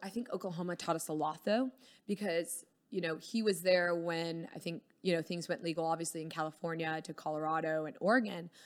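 At a fairly quick pace, a woman with an American accent speaks at a fairly low pitch with ordinary pitch variation. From Texas. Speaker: cannabis shop owner. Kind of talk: casual chat. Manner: animated.

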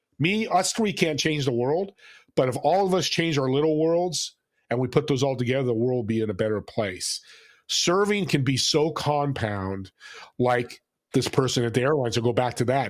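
The delivery is a normal speaking voice at a moderate pace. Intonation is lively. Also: man, medium pitch for a man. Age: 60s. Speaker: business owner and podcast host. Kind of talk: casual interview.

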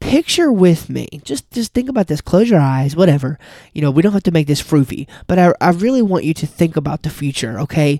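Fairly quick, upbeat delivery on a very clean recording with a silent background. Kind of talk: pep talk urging listeners to commit to their coaching business. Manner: earnest, upbeat, motivational, with direct appeals to the listener.

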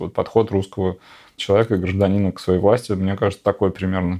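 Very fast speech from a man with a fairly low pitch and a dark, mellow tone, over a quiet background. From Siberia (Novosibirsk). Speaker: artist. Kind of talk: casual chat.

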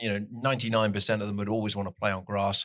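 In a very clean recording with a silent background, a man with a slight southwest English accent talks at a moderate pace in a bright, sharp tone. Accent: south-west English, slight. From Plymouth, south-west England. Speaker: soccer TV commentator. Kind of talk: casual interview. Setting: hotel venue.

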